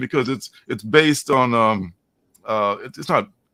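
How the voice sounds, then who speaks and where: A man with an American accent speaks at a moderate pace. His intonation is lively. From US Midwest, Chicago. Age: 60s. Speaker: comic book artist. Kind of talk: interview. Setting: livestream. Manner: halting.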